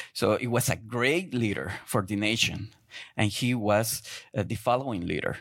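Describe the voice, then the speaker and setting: A man speaks with a Spanish accent at a medium pitch and a moderate pace. His pitch variation is ordinary, and the recording is very clean with a silent background. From Guatemala. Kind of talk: sermon. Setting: church. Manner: halting, non-native English.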